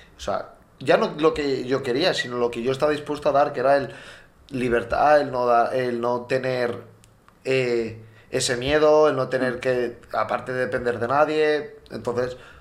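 Fairly slow and fairly even in intonation, a man speaks at a medium pitch. It is a normal speaking voice. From Valencia, Spain. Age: 20s. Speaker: podcast co-host, handball player. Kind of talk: casual chat.

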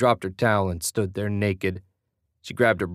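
Against a quiet background, an unforced reading voice carries fairly even intonation.

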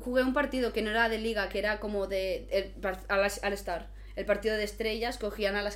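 Over noticeable background noise, a woman talks at a fairly quick pace with audible room echo. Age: 20s. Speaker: basketball player and content creator. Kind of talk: casual chat.

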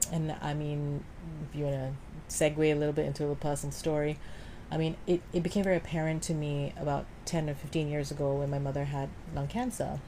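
A woman's very deep, low voice, dark and mellow, at a fairly quick pace with fairly even intonation. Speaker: voice coach and actress. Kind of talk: casual interview chat.

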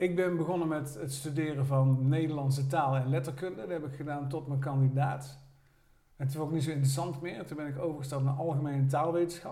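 With a dark, mellow tone and a somewhat breathy voice, a man speaks very fast with fairly even intonation amid audible room echo. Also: fairly high pitch for a man. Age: 60s. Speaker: retired former student, amateur actor. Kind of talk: casual chat.

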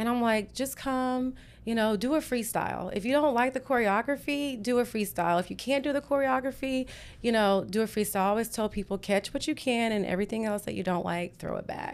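A woman talks at a fairly quick pace with a fairly high pitch. Her pitch moves in an ordinary way. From Texas. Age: 40s. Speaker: fitness instructor. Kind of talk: casual interview. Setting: studio.

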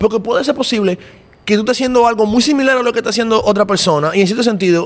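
Speaking at a very fast pace, a man talks with a high pitch. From Dominican Republic. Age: 20s. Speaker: podcaster and creative director. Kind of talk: casual chat. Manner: animated.

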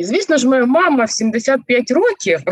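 With vocal fry and very wide pitch swings, a woman speaks in a dry, close sound with no echo. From Zaporizhzhia, Ukraine. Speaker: organizational psychologist and coach. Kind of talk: casual interview chat. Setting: video call.

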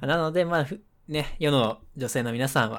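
On a very clean recording with a silent background, a man speaks in a normal speaking voice at a moderate pace with ordinary pitch variation. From Nagasaki, Japan. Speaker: podcast co-host. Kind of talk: casual chat. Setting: webcam call.

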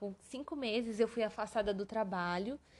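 A woman speaks at a fairly slow pace in an ordinary speaking voice, her fairly high pitch carried by lively intonation. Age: 20s. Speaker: occupational therapist and podcast host. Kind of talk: casual solo podcast monologue.

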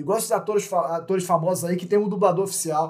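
Words tumble out very quickly while the intonation stays fairly level. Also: man. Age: 30s. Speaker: podcast host. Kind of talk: casual chat. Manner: halting, repeats words.

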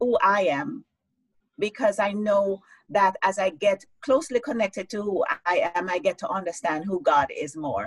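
A woman speaks at a very slow pace, medium in pitch and somewhat breathy. The sound is dry and close, with no echo. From Jamaica. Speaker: life coach and author. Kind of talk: interview on a live-streamed show.

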